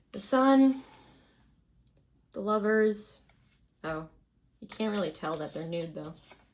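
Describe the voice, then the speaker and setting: A woman speaks at a fairly slow pace with lively intonation and big swings in loudness. Her delivery is broken by long, frequent pauses. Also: medium pitch for a woman. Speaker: tarot reader. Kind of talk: tarot reading. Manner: quiet.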